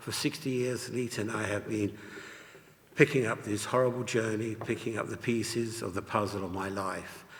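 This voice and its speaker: This man speaks with an English accent at a moderate pace, his fairly low pitch carried on fairly even intonation. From England. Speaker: Holocaust survivor. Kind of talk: testimony. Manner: reading aloud from notes.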